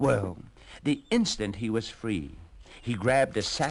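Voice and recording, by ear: This is reading aloud in a natural voice. The delivery stays that way throughout.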